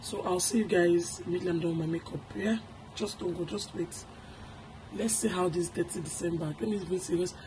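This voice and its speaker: There is noticeable background noise in this clip. A woman speaks at a fairly low pitch with ordinary pitch variation. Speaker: YouTube vlogger. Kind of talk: casual vlog chat.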